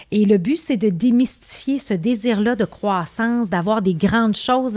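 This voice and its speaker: Lively intonation over a quiet background. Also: woman. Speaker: podcast host, business coach. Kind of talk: interview. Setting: in person studio.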